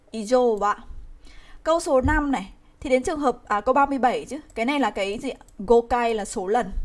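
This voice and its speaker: A woman talks at a fairly slow pace in a high pitch with ordinary pitch variation. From Vietnam. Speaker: Japanese language teacher. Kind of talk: live online grammar lesson. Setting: livestream. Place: home room. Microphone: webcam.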